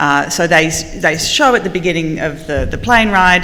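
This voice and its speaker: Over noticeable background noise and audible room echo, a woman talks with an Australian accent. Her pitch varies by an ordinary amount. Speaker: marketing panelist. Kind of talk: panel discussion.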